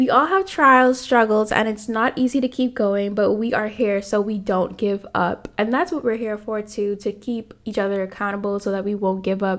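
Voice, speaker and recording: Noticeable background noise sits behind a woman speaking at fairly high pitch with ordinary pitch variation. Her tone is animated, her pace moderate, and she takes hardly any pauses. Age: 20s. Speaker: podcast host, graduate student. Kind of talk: casual faith talk.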